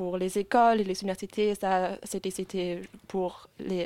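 A woman of medium pitch speaks with a German accent in a dark, mellow tone. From Germany, Leipzig and Munich. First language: German (speaking French). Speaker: law student. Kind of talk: casual interview. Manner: halting.

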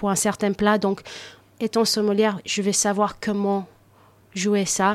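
Fairly slow and monotone, a woman talks with flat intonation. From United States, Cape Verdean family. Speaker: sommelier. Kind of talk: radio interview.

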